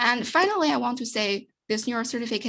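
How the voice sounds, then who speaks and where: Speaking at a fairly quick pace, a woman with a fairly high pitch and ordinary pitch variation is heard on a very clean recording with a silent background. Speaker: researcher presenting work. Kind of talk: conference talk. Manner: fast; halting.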